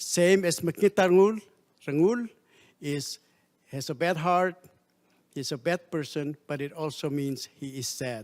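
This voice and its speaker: A man with a Palauan accent speaks at a fairly high pitch and a fairly slow pace, with long, frequent pauses. His loudness swings widely, and the recording is very clean with a silent background. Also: ordinary pitch variation. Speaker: diplomat. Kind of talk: formal speech. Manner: formal.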